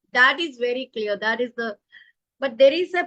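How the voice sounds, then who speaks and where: A woman's high, bright, sharp voice moves with lively intonation in a dry, close recording with no echo. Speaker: professional coach and author. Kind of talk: interview. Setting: live online video show. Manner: loud; animated.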